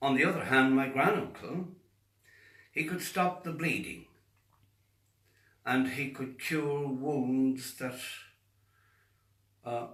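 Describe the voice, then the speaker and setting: Audible room echo surrounds a man speaking very slowly at medium pitch with ordinary pitch variation. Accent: Irish. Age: 70s. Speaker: faith healer. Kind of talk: monologue to camera.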